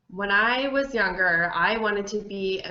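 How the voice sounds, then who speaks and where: With an American accent, a woman speaks very slowly at a medium pitch with ordinary pitch variation, and audible room echo surrounds her voice. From New Jersey, US. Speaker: adoptee, social worker. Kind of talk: interview monologue, personal reflection. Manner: halting with fillers and repetitions.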